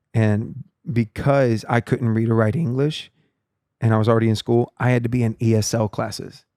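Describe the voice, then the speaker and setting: A man with a Texan accent, medium pitch and dark, mellow tone, with fairly even intonation, very even loudness and a dry, close sound with no echo in a very clean recording over a silent background. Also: moderate pace. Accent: Texan American English. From Texas (Palestine and South Texas, early childhood in Guatemala and Mexico). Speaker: worship leader. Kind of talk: casual chat.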